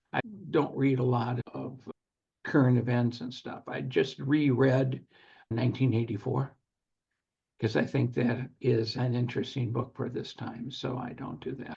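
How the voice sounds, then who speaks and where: There is vocal fry in this man's medium-pitched voice, which moves at a moderate pace. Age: 70s. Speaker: securities attorney and former real estate syndicator. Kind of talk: podcast interview.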